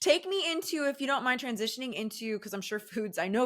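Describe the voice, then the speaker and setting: Loud and fairly quick, a woman speaks with very wide pitch swings. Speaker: podcast host, mental health therapist. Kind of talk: interview chat.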